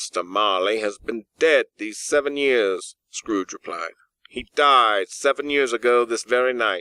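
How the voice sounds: Ordinary pitch variation runs through a natural reading voice. The background is quiet.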